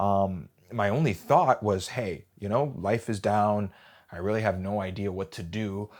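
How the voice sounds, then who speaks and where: This man has an unremarkable speaking voice, fairly low in pitch, with an American accent. He talks at a moderate pace in a very clean recording with a silent background. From Wisconsin, US Midwest. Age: 20s. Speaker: job seeker. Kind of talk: personal monologue.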